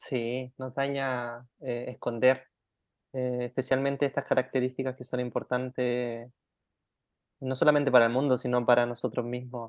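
A man's medium-pitched voice, fairly slow and monotone with flat intonation. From Chile. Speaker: life design coach. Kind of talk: interview conversation.

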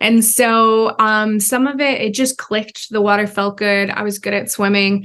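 A woman speaks at a moderate pace with hardly any pauses, her fairly high pitch held in a monotone, flat intonation. The background is quiet. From United States (adopted at age two). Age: 20s. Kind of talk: interview. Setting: virtual call.

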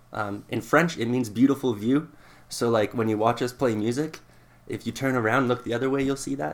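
With a Canadian accent, a man talks at a fairly quick pace in a normal speaking voice, medium in pitch with ordinary pitch variation. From Southern Alberta, Canada (Lethbridge). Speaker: guitarist. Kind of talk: casual chat.

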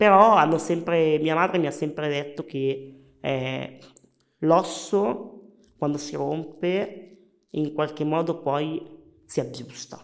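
This man's pitch is fairly high, with ordinary pitch variation. He talks at a very slow pace with long, frequent pauses. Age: 30s. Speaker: wheelchair hockey champion and lawyer. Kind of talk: interview.

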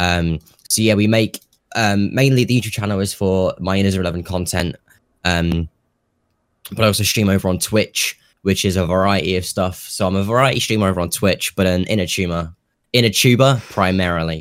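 A man's very deep, low voice with a British accent, fairly even intonation and a fairly quick pace, on a very clean recording with a silent background. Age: 18. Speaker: YouTuber and streamer. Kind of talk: casual chat.

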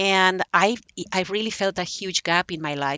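A woman's medium-pitched voice with a Spanish accent and ordinary pitch variation. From Spain, Barcelona. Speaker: memoirist. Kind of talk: interview.

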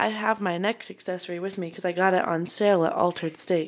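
This woman talks at a fairly quick pace in an ordinary speaking voice. Her pitch sits at a medium level. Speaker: podcast host. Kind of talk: casual chat.

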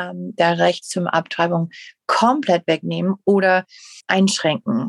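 A woman's medium-pitched voice with an English accent, dry and close with no echo. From USA. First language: English (speaking German). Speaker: podcast co-host. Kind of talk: casual chat. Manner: halting.

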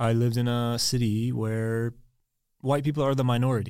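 On a very clean recording with a silent background, a man with an American accent speaks at a medium pitch with fairly even intonation. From Texas (Dallas). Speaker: American expat in Prague. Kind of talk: casual interview chat. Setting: studio.

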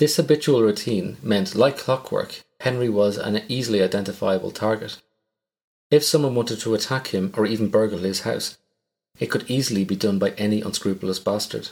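With an Irish accent, a man with a fairly low pitch talks at a fairly quick pace in a very clean recording with a silent background. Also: ordinary pitch variation. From Ireland. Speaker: true crime podcast host. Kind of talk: scripted narration.

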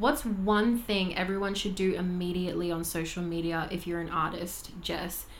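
With an Australian accent, a woman talks at a medium pitch, and audible room echo surrounds her voice. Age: 20s. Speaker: vocal coach and podcast host. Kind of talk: casual chat.

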